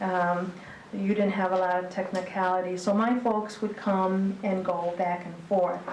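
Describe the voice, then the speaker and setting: A woman with an American accent talks at medium pitch and a fairly slow pace in a monotone, flat intonation. Audible room echo and noticeable background noise fill the recording. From Texas, then Michigan. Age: 60s. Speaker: retired school principal. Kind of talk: public talk on local history. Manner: hesitant, many fillers.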